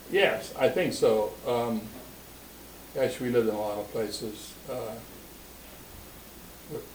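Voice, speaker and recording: In an American accent, a man speaks at a medium pitch and moderate pace, with audible room echo and noticeable background noise. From Springfield, Ohio. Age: 80s+. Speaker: family elder interviewed about his life. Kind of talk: oral history interview. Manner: halting, with many fillers.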